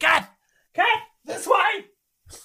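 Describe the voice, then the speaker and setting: A put-on character voice shouts loudly. The pitch is extremely high. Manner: loud, shouting.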